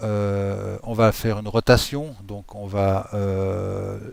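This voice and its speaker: A man speaks with a slight Swiss French accent and a fairly low pitch. The recording is very clean, with a silent background. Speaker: software tutorial creator. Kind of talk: tutorial. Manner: casual, hesitant with many fillers.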